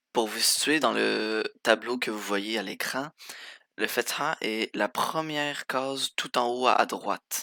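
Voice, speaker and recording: On a very clean recording with a silent background, a man's bright, sharp voice sits at medium pitch with ordinary pitch variation, the sound dry and close with no echo. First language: Arabic (speaking French). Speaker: language teacher. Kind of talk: tutorial.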